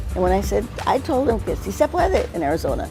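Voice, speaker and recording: A woman talking at a fairly quick pace with music in the background. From Mexican-American. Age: 80s+. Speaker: civil rights activist. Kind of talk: interview answer.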